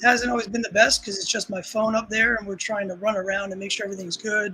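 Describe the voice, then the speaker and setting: A man with a high pitch projects a raised voice at a very fast pace. His intonation is fairly even, and background noise is noticeable. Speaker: bowling tournament organizer. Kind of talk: live stream chat.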